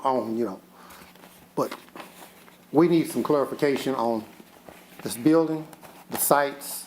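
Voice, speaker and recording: A man with an American accent talks at a medium pitch and a moderate pace, with ordinary pitch variation. Long, frequent pauses break up his speech over noticeable background noise. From Kentucky. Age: 70s. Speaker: resident speaking at public comment. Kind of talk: public comment at city meeting. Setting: city commission meeting.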